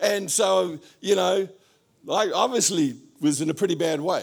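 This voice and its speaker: This is a man speaking. He talks with an Australian accent. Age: 70s. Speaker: pastor. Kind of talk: sermon. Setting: church.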